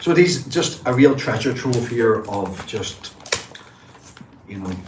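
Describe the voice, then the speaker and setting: With a northwest Irish accent, a man of medium pitch speaks with lively intonation. Audible room echo and noticeable background noise fill the recording. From northwest Ireland. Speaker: comic book collector and livestreamer. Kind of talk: casual live stream show-and-tell. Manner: enthusiastic.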